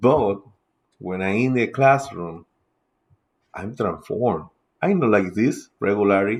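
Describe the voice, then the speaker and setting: Against a quiet background, a man with a Spanish accent speaks at a very slow pace, his fairly low pitch showing ordinary variation. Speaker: teacher and podcaster. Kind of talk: casual lecture. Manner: halting, with filler sounds.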